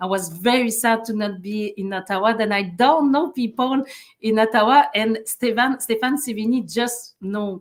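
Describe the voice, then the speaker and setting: A woman speaks with a strong French Canadian accent at a fairly high pitch. Her pace is moderate, and her pitch variation is ordinary. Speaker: human rights advocate and former lawyer. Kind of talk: interview. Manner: halting, many fillers and restarts.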